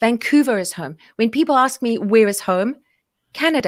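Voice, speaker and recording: Someone with a South African accent talks at a fairly quick pace in a very clean recording with a silent background. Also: woman. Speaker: podcast guest. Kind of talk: interview conversation.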